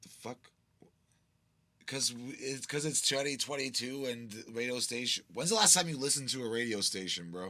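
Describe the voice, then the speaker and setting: A man speaks loudly at a medium pitch and a moderate pace, in a bright, sharp tone with ordinary pitch variation. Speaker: podcast host. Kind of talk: casual chat.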